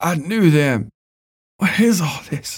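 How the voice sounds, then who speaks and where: A man's put-on character voice, raspy and fairly high, with very wide pitch swings. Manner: soft whisper.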